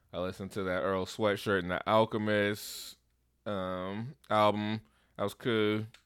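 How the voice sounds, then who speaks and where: In a very clean recording with a silent background, a man speaks fairly slowly in a flat monotone at a fairly low pitch. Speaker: podcast co-host. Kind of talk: casual chat.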